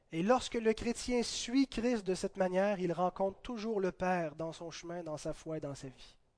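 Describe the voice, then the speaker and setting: Against a quiet background, a man with a high pitch talks at a moderate pace with hardly any pauses, ordinary pitch variation and big swings in loudness. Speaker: pastor. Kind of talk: sermon. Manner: halting.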